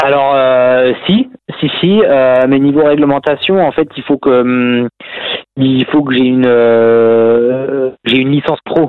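The speaker keeps a very slow pace and fairly even intonation. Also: man, medium pitch for a man, very even loudness. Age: 30s. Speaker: professional cyclist. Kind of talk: casual interview. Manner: halting, many repetitions.

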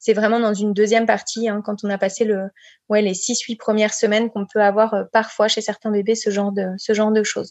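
A woman talks at a fairly quick pace in a fairly high pitch. Her intonation stays monotone and flat. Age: 30s. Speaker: breastfeeding counsellor and speech therapist. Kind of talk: podcast interview, advice.

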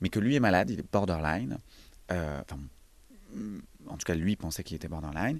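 The speaker talks at a fairly quick pace with lively intonation, broken up by long, frequent pauses. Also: man, very deep, low pitch for a man. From rural Loire, near Montbrison (Saint-Étienne area), France. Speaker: actor. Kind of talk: casual interview.

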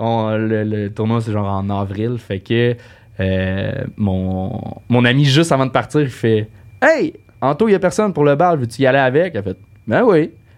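Using an ordinary speaking voice, a man talks at a fairly slow pace and medium pitch with lively intonation. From Quebec, Saint-Eustache. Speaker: comedian. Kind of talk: casual chat.

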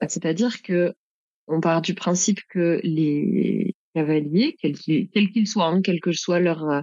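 A woman talks in a plain, everyday voice. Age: 30s. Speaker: saddle fitter and trainer. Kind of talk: casual interview.

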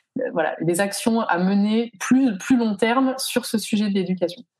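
This woman has an unremarkable speaking voice, talking fairly slowly and with ordinary pitch variation. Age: 30s. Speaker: founder of children's educational kits. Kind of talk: casual interview.

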